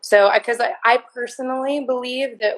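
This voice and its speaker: A woman talks at a moderate pace in an unremarkable speaking voice. Her intonation stays fairly even. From Kansas City. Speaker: artist and activist. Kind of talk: interview answer.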